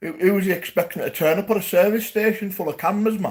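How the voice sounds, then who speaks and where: A man with a Geordie accent, talking at a very fast pace. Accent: Geordie (Newcastle). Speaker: YouTube live streamer. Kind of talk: livestream chat to viewers. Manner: animated.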